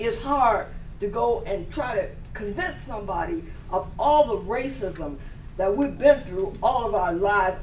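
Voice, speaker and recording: A woman speaks at a fairly slow pace with very wide pitch swings. Noticeable background noise and audible room echo surround her voice. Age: 80s+. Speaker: audience member at Q&A. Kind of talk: audience comment. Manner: loud.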